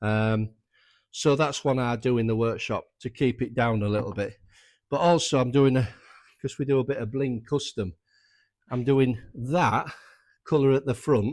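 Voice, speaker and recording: A man with a North Yorkshire accent speaks at a moderate pace and medium pitch, with ordinary pitch variation. He leaves long, frequent pauses, and the recording is very clean with a silent background. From North Yorkshire, England. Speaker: motorcycle restorer and workshop owner. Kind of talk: workshop tutorial. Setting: workshop. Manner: casual, conversational.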